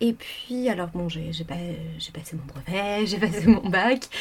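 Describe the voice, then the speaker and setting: The speech has big swings in loudness and long, frequent pauses. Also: woman. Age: 20s. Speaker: freelance radio journalist. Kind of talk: interview. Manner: halting, many fillers.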